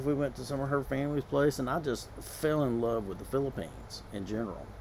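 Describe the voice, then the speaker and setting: Here a man speaks in a Southern US accent at a medium pitch. His pace is fairly quick, with ordinary pitch variation. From US South. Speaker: vlogger. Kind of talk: casual vlog monologue. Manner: conversational, with many fillers.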